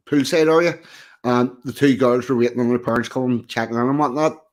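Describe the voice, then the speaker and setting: On a very clean recording with a silent background, a man speaks at a medium pitch with a strong Belfast accent. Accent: broad Belfast. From Northern Ireland, East Belfast. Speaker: podcast guest. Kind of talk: casual chat.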